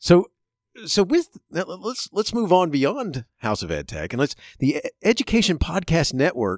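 A man with an American accent speaks at a moderate pace. The recording is very clean, with a silent background and a dry, close sound with no echo. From Chicago and Florida. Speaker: educator and podcast host. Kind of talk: interview. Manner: halting, many fillers; laughs often.

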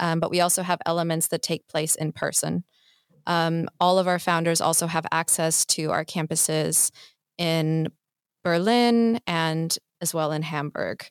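An unremarkable speaking voice with an American accent at a fairly slow pace, in a very clean recording with a silent background and a dry, close sound with no echo. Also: woman. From US. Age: 20s. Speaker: startup mentorship program manager. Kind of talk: interview. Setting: studio.

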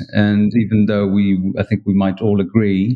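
A man with a Polish accent speaks at a fairly low pitch in a monotone with flat intonation. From Poland. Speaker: wine writer. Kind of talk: interview. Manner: halting.

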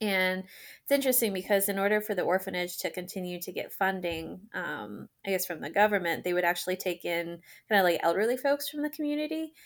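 At a fairly quick pace, a woman with an unremarkable speaking voice, medium pitch and an American accent speaks in a very clean recording with a silent background. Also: lively intonation. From US Maryland. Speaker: resident doctor, adoptee. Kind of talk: casual interview chat.

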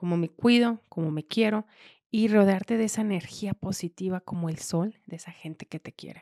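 Here a woman speaks at a medium pitch with a dark, mellow tone. The sound is dry and close, with no echo. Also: ordinary pitch variation, moderate pace, big swings in loudness. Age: young. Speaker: construction industry leader. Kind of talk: interview.

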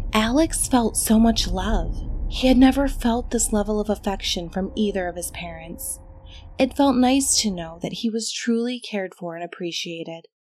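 A woman speaks in a plain, everyday voice, fairly high-pitched, with ordinary pitch variation at a moderate pace. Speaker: horror story narrator. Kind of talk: horror story narration, scripted. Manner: measured, ominous, hushed storytelling pace.

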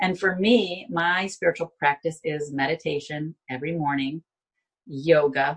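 A woman with an American accent, somewhat breathy, at a fairly slow pace with ordinary pitch variation. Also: fairly low pitch for a woman. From Binghamton, New York. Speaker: life coach. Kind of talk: interview testimony.

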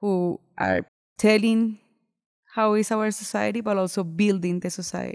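In a quiet background, a woman with a Spanish accent speaks at medium pitch with monotone, flat intonation. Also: moderate pace. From Colombia. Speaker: transitional justice program coordinator. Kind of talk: interview.

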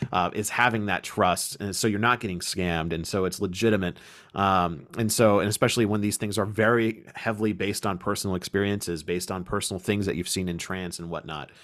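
Recorded very cleanly against a silent background, a man speaks in a normal speaking voice at a fairly quick pace with hardly any pauses, fairly low pitch and fairly even intonation. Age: 20s. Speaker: podcast host, pagan organization leader. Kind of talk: casual chat.

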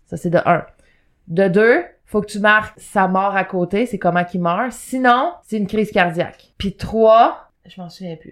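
In a Quebec accent, the speaker keeps a moderate pace and fairly even intonation on a very clean recording with a silent background. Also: woman. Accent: Québécois French. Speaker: podcast co-host. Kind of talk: casual chat. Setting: studio.

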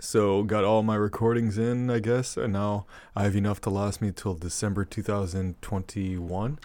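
In a very clean recording with a silent background, a man with a plain, everyday voice speaks at a moderate pace and a fairly low pitch. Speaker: guest podcaster. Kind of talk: casual chat.

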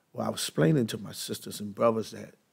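With vocal fry and an American accent, a man speaks at a medium pitch with ordinary pitch variation. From US, East Baltimore. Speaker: minister and former prisoner. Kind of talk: testimony.

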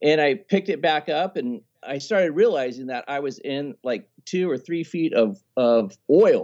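A man with an unremarkable speaking voice talks at a fairly slow pace with hardly any pauses. His pitch is fairly high and his intonation is lively. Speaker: travel videographer and scuba diver. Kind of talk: casual interview chat.

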